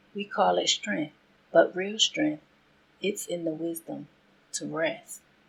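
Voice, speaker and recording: The pace is very slow. A woman talks in an American accent. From Southern United States. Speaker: faith podcast host. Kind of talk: inspirational podcast monologue.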